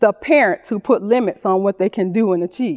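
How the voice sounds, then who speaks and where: With a dry, close sound and no echo, a woman speaks in a dark, mellow tone. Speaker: special education teacher. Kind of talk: public speech.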